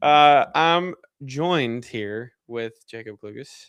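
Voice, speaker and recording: Ordinary pitch variation runs through this voice with a Kentucky accent. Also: man. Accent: country accent, Kentucky. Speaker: sports podcast host. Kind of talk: casual chat.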